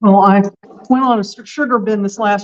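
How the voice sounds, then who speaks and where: A woman with a plain, everyday voice and a fairly high pitch speaks at a fairly quick pace. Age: 60s. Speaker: local government meeting attendee. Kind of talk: casual chat.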